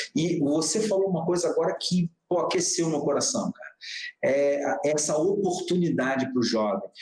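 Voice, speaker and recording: A man with a fairly high pitch talks fairly slowly, his pitch swinging very widely. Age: 50s. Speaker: digital entrepreneur. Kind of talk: casual interview conversation. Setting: live stream broadcast.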